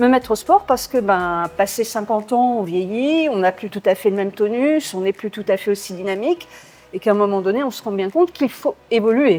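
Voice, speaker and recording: Lively in intonation, a woman with an ordinary speaking voice talks at a fairly high pitch. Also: fairly quick pace. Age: 60s. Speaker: gym member. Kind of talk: interview. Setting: gym.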